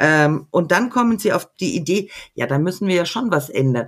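A woman at a fairly low pitch and moderate pace, her pitch swinging very widely, in a very clean recording with a silent background. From Middle Franconia, Erlangen. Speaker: secondary school teacher. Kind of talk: casual interview.

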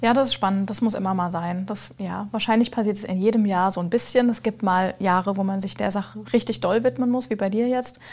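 A woman's somewhat breathy voice at medium pitch, fairly quick with hardly any pauses, with ordinary pitch variation. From Lower Franconia, Germany. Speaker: business founder. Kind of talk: casual chat.

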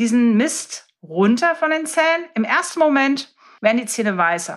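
On a very clean recording with a silent background, a woman speaks at a fairly slow pace. Her high pitch carries an animated tone. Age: 30s. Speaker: dentist. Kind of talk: casual interview. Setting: in-person recording in host's medical practice.

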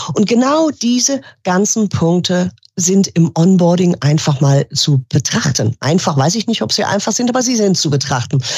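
A woman with a fairly low, somewhat breathy voice talks at a moderate pace, her pitch swinging very widely, in a dry, close recording with no echo. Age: 50s. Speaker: business coach and former property manager. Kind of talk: interview conversation.

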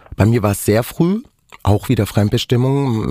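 Moderately paced speech from a man with a fairly low pitch. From Germany. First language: Romani (speaking German). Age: 40s. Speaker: dental hygienist, author and activist. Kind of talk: personal testimony interview. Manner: animated.

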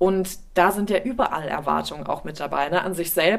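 Against noticeable background noise, a woman talks at a fairly low pitch. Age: 30s. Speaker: podcast host and actress. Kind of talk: casual interview. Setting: her living room.

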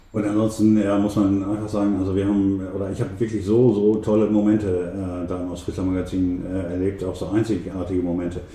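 Audible room echo surrounds a man with a fairly low pitch and monotone, flat intonation. He goes at a fairly quick pace with hardly any pauses. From East Frisia, Emden (Transvaal district). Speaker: magazine editor and photographer. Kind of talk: interview. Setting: private home. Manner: hesitant with many fillers.

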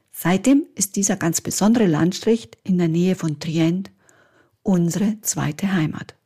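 A woman speaks at a medium pitch and a fairly slow pace, with ordinary pitch variation. Her tone is dark and mellow, and somewhat breathy. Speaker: podcast host, Italian teacher and property advisor. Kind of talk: scripted monologue.

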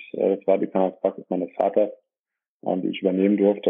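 A man's fairly low voice at a fairly quick pace. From Germany, Dorsten (Ruhr area / Münsterland border). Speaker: dentist and practice owner. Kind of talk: interview. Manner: hesitant with many filler sounds.

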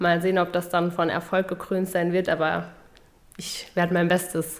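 Moderate pace and a fairly low pitch from a woman. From Saarland, Germany (Völklingen area). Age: 20s. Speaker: party official and podcast co-host. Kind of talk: casual chat.

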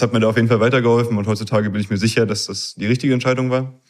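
With a slight northern German accent, a man speaks in a fairly even intonation. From Berlin area, Germany. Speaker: engineering student. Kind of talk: interview.

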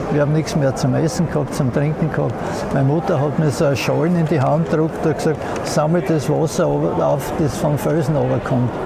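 A man talks at a fairly high pitch with fairly even intonation. The recording carries audible room echo and noticeable background noise. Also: fairly quick pace. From Austria, Graz (Styria). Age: 80s+. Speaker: former mayor. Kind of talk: interview, personal recollection. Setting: outdoors on town square, then moved indoors. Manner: halting, many fillers.

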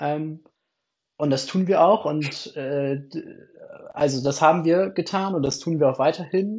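This man's voice sits fairly high in pitch. He speaks at a fairly slow pace with long, frequent pauses. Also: ordinary pitch variation. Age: 20s. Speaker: theology student and youth church delegate. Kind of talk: casual interview.

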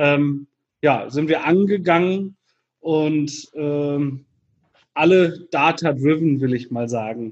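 Speaking very slowly with long, frequent pauses, a man uses a fairly high pitch and ordinary pitch variation. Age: 40s. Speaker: entrepreneur and business mentor. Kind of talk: podcast interview. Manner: hesitant with frequent fillers.

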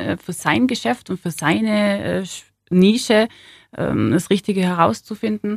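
This woman talks at a fairly slow pace. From southern Germany, Ulm (Swabia). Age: 30s. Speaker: city centre manager. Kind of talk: interview. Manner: hesitant with many fillers.

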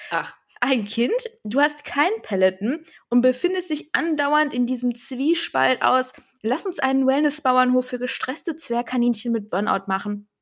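A woman at a high pitch, with lively intonation and a fairly slow pace. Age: 30s. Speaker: podcast host and digital consultant. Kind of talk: scripted podcast trailer, playful.

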